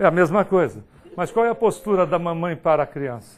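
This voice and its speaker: This man's fairly high voice moves at a moderate pace, its intonation lively. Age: 50s. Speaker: spiritist lecturer. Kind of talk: lecture. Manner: animated. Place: hall.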